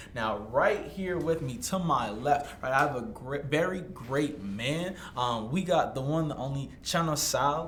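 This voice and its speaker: With an American accent, a man speaks fairly slowly in a fairly high voice, hardly pausing, over noticeable background noise. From Massachusetts, Stoughton near Boston. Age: 20s. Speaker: podcast host, entrepreneur. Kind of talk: casual chat interview. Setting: shared single microphone, in person.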